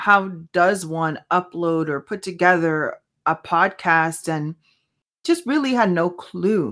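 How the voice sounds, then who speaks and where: Lively intonation carries through a very clean recording with a silent background. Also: woman. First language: Spanish. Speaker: podcast host. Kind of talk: solo podcast monologue with faith reflection. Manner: casual, halting with fillers.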